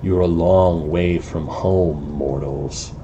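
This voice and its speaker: A man puts on a character voice at a very deep, low pitch and a very slow pace. Clear background noise runs behind him. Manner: ominous, condescending.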